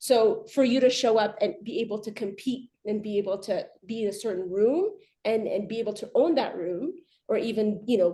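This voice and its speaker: The voice has a dark, mellow tone and an American accent, moving at a moderate pace. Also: woman, ordinary pitch variation. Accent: very American. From Ethiopia. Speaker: arbitration lawyer. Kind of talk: panel discussion. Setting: video call webinar. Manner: halting, many repetitions.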